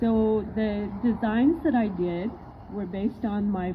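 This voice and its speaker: A woman with a somewhat breathy, fairly high voice speaks at a very slow pace. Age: 60s. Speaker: mural artist. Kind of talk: public speech.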